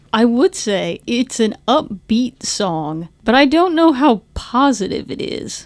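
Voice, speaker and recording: Very slow speech with hardly any pauses. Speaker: music podcast co-host. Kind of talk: casual chat.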